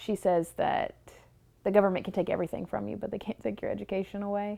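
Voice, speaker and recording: The background is silent and the recording very clean. She has a Southern US accent. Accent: Southern rural speech, criticized by teacher. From US South, rural Tennessee. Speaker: university student. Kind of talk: personal documentary narrative.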